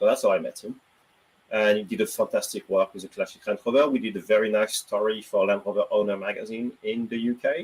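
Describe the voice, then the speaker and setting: A man with a French accent, talking at a fairly quick pace. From France. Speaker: automotive journalist and EV consultant. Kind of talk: casual chat.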